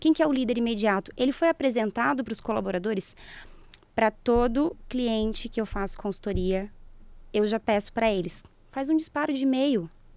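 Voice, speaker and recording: Lively intonation marks this woman's fairly high voice. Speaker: organizational psychologist and HR consultant. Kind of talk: podcast interview. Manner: fast; animated.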